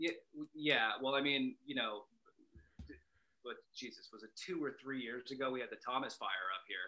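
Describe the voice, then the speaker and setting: In an unremarkable speaking voice, a man talks at a moderate pace and medium pitch with ordinary pitch variation. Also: big swings in loudness. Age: 30s. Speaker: brewer and former chef. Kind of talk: casual interview.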